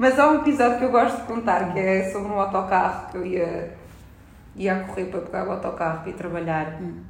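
A woman speaks at a medium pitch and a fairly quick pace, her intonation lively and her loudness swinging widely. Noticeable background noise and audible room echo fill the recording. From France, Paris suburbs, then Portugal. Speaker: illustrator. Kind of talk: casual chat.

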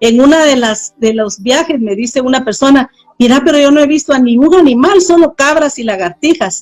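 With music in the background, a woman speaks at a high pitch and a moderate pace with lively intonation. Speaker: missionary. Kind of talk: interview testimony.

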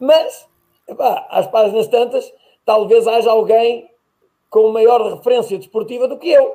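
A man with an extremely high pitch and ordinary pitch variation speaks with long, frequent pauses. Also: fairly slow pace. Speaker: podcast host, athletics. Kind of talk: casual interview chat.

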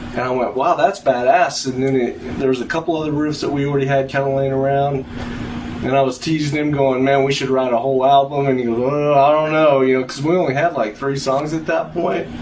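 A man's fairly high voice with an American accent, fairly even intonation, a fairly quick pace and noticeable background noise. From Texas Panhandle. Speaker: guitarist. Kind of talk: casual chat.

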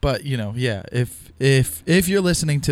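This man has an ordinary speaking voice with ordinary pitch variation. He talks at a moderate pace. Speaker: fellow podcaster. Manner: teasing, joking.

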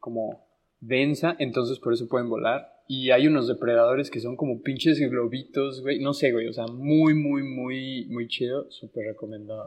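Against a quiet background, a man speaks with a Mexican accent at a moderate pace. His pitch is medium and his intonation fairly even. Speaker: podcast co-host. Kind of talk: casual chat.

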